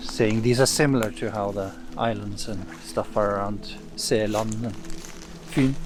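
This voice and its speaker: In a Norwegian accent, a man speaks at a moderate pace and fairly low pitch with long, frequent pauses, amid audible room echo and noticeable background noise. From East Norway. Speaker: saga translator and commentator. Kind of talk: lecture-style commentary. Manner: hesitant, many filler sounds.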